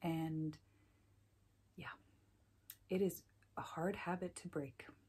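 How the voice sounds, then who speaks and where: A soft-spoken, somewhat breathy voice with a dark, mellow tone, monotone, flat intonation and a very slow pace. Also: woman, fairly low pitch for a woman. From Iceland. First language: Icelandic. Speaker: knitting podcaster. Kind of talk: casual chat. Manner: frequent ums.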